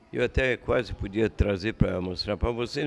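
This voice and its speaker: The voice moves at a fairly slow pace with ordinary pitch variation. Music plays in the background. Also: man. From southern Brazil, Paraná. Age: 80s+. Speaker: bar owner and former politician. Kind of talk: casual interview chat.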